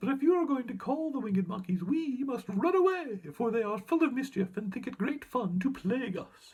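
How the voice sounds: A man does a put-on character voice at an extremely high pitch, with lively intonation and a moderate pace. The tone is slightly mellow with a slightly husky edge.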